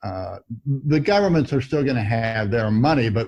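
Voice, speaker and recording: The voice has a dark, mellow tone and sounds somewhat breathy, with an American accent. The pace is moderate. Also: man. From Missouri, US Midwest. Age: 70s. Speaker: veteran trader. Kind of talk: interview. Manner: halting.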